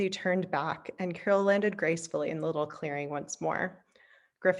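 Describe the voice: It's plain reading aloud with ordinary pitch variation.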